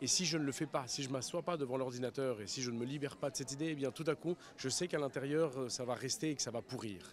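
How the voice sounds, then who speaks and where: Speaking at a very fast pace with hardly any pauses, a man at a medium pitch shows ordinary pitch variation. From grew up abroad in many countries, French schools. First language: Spanish (speaking French). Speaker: writer. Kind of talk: interview.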